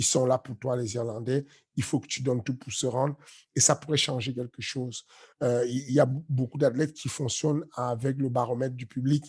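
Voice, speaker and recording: The voice has monotone, flat intonation at a moderate pace, with a dry, close sound and no echo. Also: man. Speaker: MMA coach. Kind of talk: casual chat. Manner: loud; halting, many fillers.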